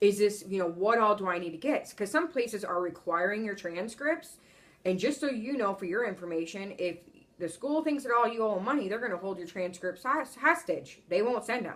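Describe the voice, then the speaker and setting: An ordinary speaking voice from a woman, medium in pitch, with lively intonation. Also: fairly quick pace. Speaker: travel nurse vlogger. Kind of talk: casual vlog monologue.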